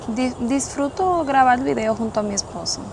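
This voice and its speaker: Medium-paced female speech amid clearly audible background noise. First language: Spanish. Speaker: boat owner co-presenter. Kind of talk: casual video introduction. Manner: halting.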